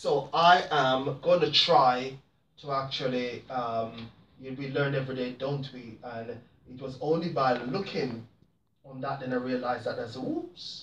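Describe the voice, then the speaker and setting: Medium-pitched male speech at a fairly slow pace, fairly even in intonation, with big swings in loudness. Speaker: talk show host. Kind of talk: casual vlog monologue. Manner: halting, many repetitions.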